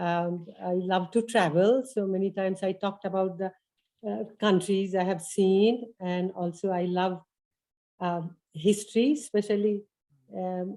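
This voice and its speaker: In an Indian accent, a woman talks fairly slowly at a medium pitch. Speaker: volunteer lecturer. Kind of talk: class presentation.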